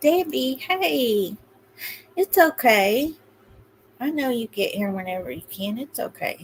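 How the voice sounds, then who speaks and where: A woman's high voice with very wide pitch swings and big swings in loudness, very slow, broken by long, frequent pauses, over noticeable background noise. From Kentucky, rural Appalachia. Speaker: true crime livestream host. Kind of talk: casual livestream commentary.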